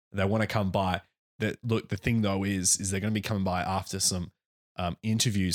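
In an ordinary speaking voice, a man talks at a fairly quick pace, the sound dry and close with no echo in a very clean recording with a silent background. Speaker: podcast co-host. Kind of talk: casual chat. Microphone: new studio microphone.

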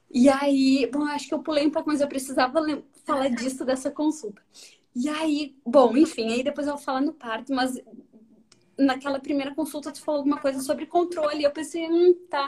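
A woman's high-pitched voice with fairly even intonation and big swings in loudness. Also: moderate pace. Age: 30s. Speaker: lawyer and pregnant mother sharing birth story. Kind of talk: casual chat on a live stream.

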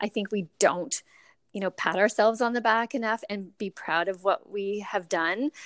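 A woman speaks in a plain, everyday voice at medium pitch and a moderate pace, with ordinary pitch variation. The recording is very clean and dry, close with no echo, over a silent background. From Canada, moved around as military child. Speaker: plant-based cafe co-owner. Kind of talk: interview conversation.

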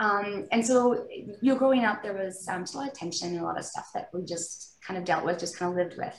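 A woman's medium-pitched voice with a Canadian accent, very fast and with hardly any pauses, ordinary pitch variation, noticeable background noise and audible room echo. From British Columbia, Canada. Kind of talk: interview, personal faith testimony.

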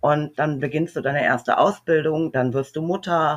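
A woman speaks fairly slowly with a very deep, low pitch. The background is quiet. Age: 40s. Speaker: recovering alcoholic, single mother of four. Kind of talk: personal testimony interview.

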